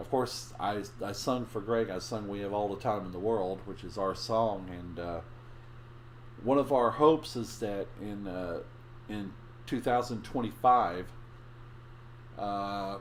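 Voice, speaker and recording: At a moderate pace, a man talks in a fairly low pitch with ordinary pitch variation, and audible room echo surrounds him. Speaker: live streamer. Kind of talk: casual live stream chat. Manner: halting, many restarts.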